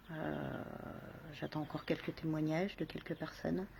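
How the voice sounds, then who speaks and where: A soft-spoken woman with a very deep, low voice and a dark, mellow tone. She talks at a fairly slow pace with fairly even intonation. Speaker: video blogger. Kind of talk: casual vlog monologue. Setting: outdoors on a balcony. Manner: halting, many repetitions.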